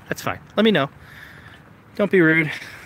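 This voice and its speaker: Noticeable background noise accompanies this man's voice. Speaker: vlogger. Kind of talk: live stream tutorial. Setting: outdoors at night. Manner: hesitant, many fillers.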